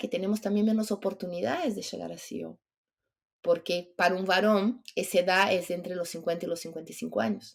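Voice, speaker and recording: With a normal speaking voice at medium pitch, a woman talks at a fairly quick pace. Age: 50s. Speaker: entrepreneur and longevity advocate. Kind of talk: podcast interview.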